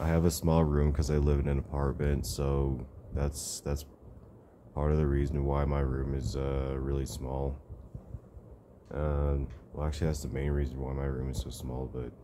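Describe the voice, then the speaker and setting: A man with a very deep, low pitch and monotone, flat intonation, at a moderate pace with long, frequent pauses, amid noticeable background noise. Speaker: vlogger. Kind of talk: casual vlog chat. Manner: low, drowsy talk lying in bed. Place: home room. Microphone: phone near.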